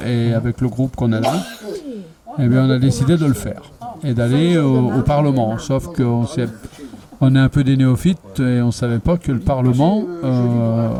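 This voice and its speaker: Amid noticeable background noise, a man at medium pitch talks at a moderate pace with ordinary pitch variation, very even loudness and long, frequent pauses. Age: 60s. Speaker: retired protester. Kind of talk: street interview. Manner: hesitant, many fillers.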